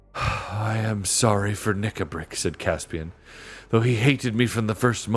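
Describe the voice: Plain reading aloud, its intonation fairly even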